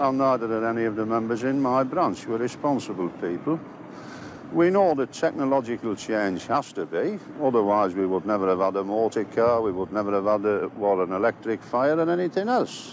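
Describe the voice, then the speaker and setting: Speaking with a Lancashire accent, a man with a medium pitch moves at a fairly quick pace with lively intonation, the sound dry with no echo and light background noise. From northern England. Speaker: union convener. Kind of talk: interview. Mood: earnest, measured. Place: open country.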